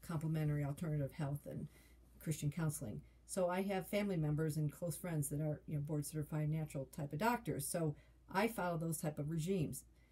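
A woman's very deep, low, somewhat breathy voice in a dark, mellow tone, at a fairly quick pace with ordinary pitch variation. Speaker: health vlogger. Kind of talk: casual vlog chat. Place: home room. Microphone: phone near.

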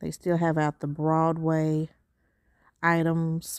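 At a very slow pace, a woman with a very deep, low pitch speaks in a monotone, flat intonation, the sound dry with no echo and the background quiet. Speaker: shopping vlogger. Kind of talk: casual vlog chat. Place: shop. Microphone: phone near.

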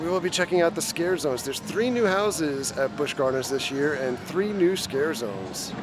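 Noticeable background noise around a male voice, dry with no echo. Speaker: theme park vlogger. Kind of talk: casual vlog chat. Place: street. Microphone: phone near.

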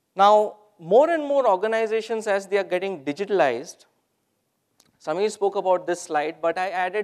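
The talking moves at a moderate pace over a quiet background. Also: man. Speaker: presenter. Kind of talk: conference talk. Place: hall.

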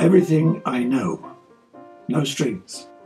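Faint music plays behind a man with lively intonation. His voice is pitched fairly high. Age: old. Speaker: entrepreneur. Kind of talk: casual talk to camera. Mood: warm, reflective. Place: office.

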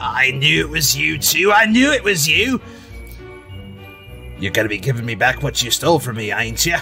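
The speaker is a man doing a put-on character voice at a moderate pace. Clear music plays in the background. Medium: actual play. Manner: cranky, demanding, greedy.

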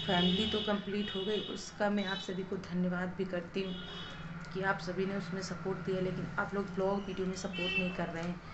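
Over clear background noise, a woman speaks at a medium pitch with fairly even intonation.

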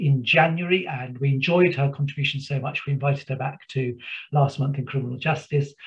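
A man speaks with a somewhat breathy voice. His intonation stays fairly even. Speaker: webinar host. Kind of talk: host introduction of guests. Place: home room. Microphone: webcam.

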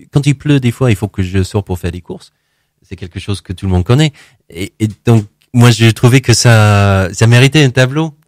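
In a dry recording with no echo and a quiet background, a man talks at a moderate pace with ordinary pitch variation and big swings in loudness. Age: 40s. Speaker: painter; interview guest. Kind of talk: interview. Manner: halting, many repetitions and hesitations. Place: studio.

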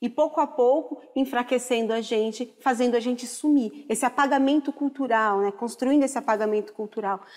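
Against a quiet background, a woman with a high voice and ordinary pitch variation speaks fairly quickly with hardly any pauses. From Brazil. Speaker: chef and culinary historian; guest. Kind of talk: TV talk show discussion. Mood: earnest, impassioned. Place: studio.

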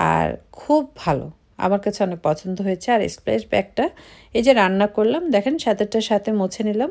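A woman's dark, mellow tone with vocal fry and lively intonation against a quiet background. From Bangladesh. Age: 30s. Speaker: family vlogger. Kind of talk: vlog narration. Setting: at home. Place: kitchen.

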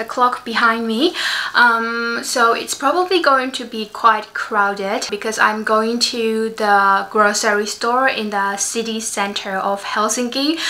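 A woman speaks at a fairly slow pace with ordinary variation in pitch. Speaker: vlogger. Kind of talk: casual vlog chat. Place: home room. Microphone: phone near.

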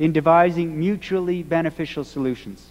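A man's voice, high in pitch, moves at a moderate pace. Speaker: minister. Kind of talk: sermon. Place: church. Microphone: podium.

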